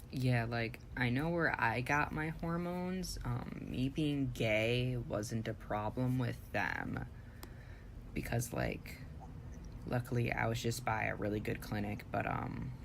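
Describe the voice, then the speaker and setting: There is audible room echo as a man speaks at a very slow pace with very even loudness. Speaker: podcast co-host. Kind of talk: casual chat.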